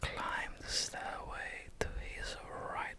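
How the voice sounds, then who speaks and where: The speaker is whispering. The pace is very slow. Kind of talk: ASMR whispered travel facts, casual talk to camera. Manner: whispered.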